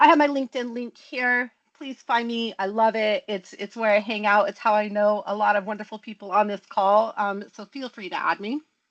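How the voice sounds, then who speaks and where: A woman speaks at a moderate pace with a fairly high pitch and fairly even intonation, hardly pausing at all. The sound is dry and close with no echo, over a quiet background. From US West Coast. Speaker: tech practice lead and speaker. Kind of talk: conference talk to online user group. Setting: online video call. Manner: casual, chatty.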